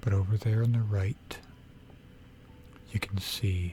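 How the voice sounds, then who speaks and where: A relaxed tone at a very slow pace, with music in the background. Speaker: ASMR gaming content creator. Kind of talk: ASMR gaming sleep aid, soft-spoken narration of a game tour. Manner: soft-spoken, relaxed.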